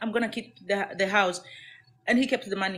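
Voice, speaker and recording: A woman speaks. She has a Kenyan accent. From Kenya, Maragoli from Kakamega area. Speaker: domestic violence survivor. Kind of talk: testimony.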